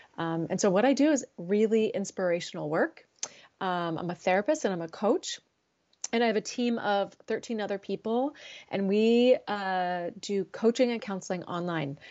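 At a moderate pace, a woman with an unremarkable speaking voice talks at medium pitch with lively intonation. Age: 40s. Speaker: therapist. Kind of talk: casual chat.

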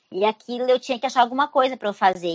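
A woman is speaking here. Her pitch sits fairly high. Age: 40s. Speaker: travel agent and tour guide. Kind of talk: casual interview.

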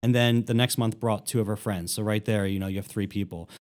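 A plain, everyday voice from a man with an American accent, fairly quick in pace, with ordinary pitch variation. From Philadelphia, US. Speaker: nonprofit executive director. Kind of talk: interview conversation.

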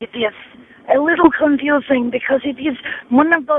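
The voice shows ordinary pitch variation, with noticeable background noise present. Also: woman. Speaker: horror fan caller. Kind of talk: voicemail message. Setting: phone call.

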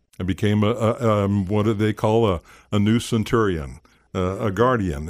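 On a very clean recording with a silent background, a man speaks at a moderate pace and a fairly low pitch with ordinary pitch variation. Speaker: former police officer and private detective, voiceover artist. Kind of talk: testimony. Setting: studio. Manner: halting, with many fillers.

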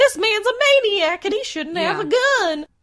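A female-sounding, put-on character voice is pitched extremely high for a woman. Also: moderate pace. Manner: silly.

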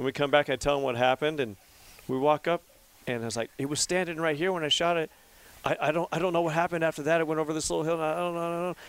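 A man with an American accent, fairly high pitch, fairly even intonation and very fast pace, in a dry, close sound with no echo. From California, Central Valley. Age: 30s. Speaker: bowhunter and hunting guide. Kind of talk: casual chat.

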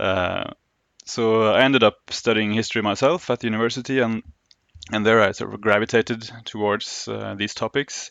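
Speaking in a Norwegian accent, a man keeps a moderate pace, a medium pitch and fairly even intonation. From Oslo, Norway. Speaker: historian. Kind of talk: interview. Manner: halting, many fillers.

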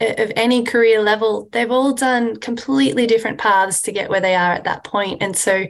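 The speaker talks at a fairly quick pace in an Australian accent, with fairly even intonation and vocal fry. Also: woman, fairly high pitch for a woman.

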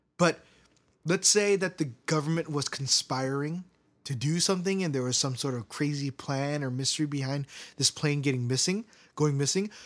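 A man with an American accent speaks at a moderate pace in an ordinary speaking voice, fairly high-pitched with ordinary pitch variation, on a very clean recording with a silent background. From US, Korean American. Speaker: podcast host. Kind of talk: casual chat. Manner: laughs often.

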